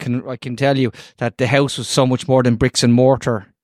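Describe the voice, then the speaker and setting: Recorded with a dry, close sound and no echo, a man speaks at a medium pitch with an Irish accent. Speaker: podcast co-host. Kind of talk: casual chat.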